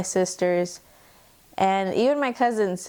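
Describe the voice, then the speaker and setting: A woman with a Spanish accent speaks at a fairly slow pace. Her pitch sits in the medium range. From US, raised by Mexican immigrants. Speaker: student. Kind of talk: personal testimony interview.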